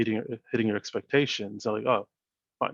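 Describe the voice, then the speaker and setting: The voice, with a Canadian accent, sounds dry and close with no echo. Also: man. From Canada. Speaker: startup founder and CEO. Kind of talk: interview. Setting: video call. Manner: soft-spoken; even-keeled.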